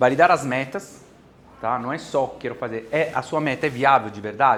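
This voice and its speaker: A man with an Italian accent speaks at a moderate pace, his pitch varying in an ordinary way. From Italy (Bari). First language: Italian (speaking Portuguese). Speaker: business consultant and course instructor. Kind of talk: lecture. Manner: halting.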